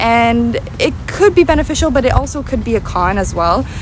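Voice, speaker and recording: A woman with an American accent, against noticeable background noise. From United States. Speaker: travel vlogger. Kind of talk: vlog monologue. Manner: casual, with filler words.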